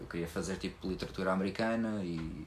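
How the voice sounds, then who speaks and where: With a very deep, low pitch and fairly even intonation, a man talks at a fairly quick pace. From Portugal. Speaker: podcast host, stand-up comedian. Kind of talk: casual chat. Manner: fast.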